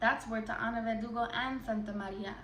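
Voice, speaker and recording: A woman's fairly high voice at a moderate pace, flat and monotone in intonation. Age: 20s. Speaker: spoken word artist. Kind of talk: performance poetry.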